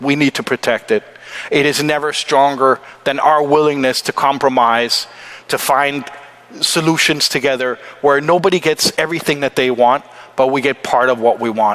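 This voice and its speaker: Over noticeable background noise, a man with a fairly high pitch speaks at a moderate pace and fairly even intonation, the sound dry and close with no echo. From Denmark. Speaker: forum panelist. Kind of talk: panel talk.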